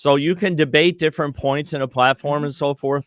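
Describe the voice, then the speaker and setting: A dry, close sound with no echo on a very clean recording with a silent background. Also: man. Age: 60s. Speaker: presidential candidate. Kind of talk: interview. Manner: halting, many fillers.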